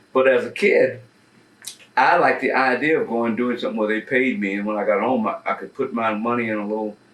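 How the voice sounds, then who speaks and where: A man with an American accent rushes along very fast as noticeable background noise continues. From US South, Mississippi and Texas. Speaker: jazz cornetist. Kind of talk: interview storytelling.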